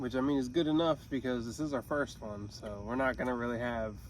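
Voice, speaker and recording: The speaker has an American accent and talks at a moderate pace with fairly even intonation. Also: man. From US Northeast, Pennsylvania (Pottstown). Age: 20s. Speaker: podcast co-host. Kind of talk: casual chat. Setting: outdoors, parked in a high school parking lot.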